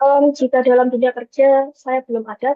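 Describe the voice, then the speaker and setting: This woman has a high-pitched voice. She talks at a moderate pace. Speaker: university student, job interview candidate. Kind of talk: mock job interview. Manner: formal.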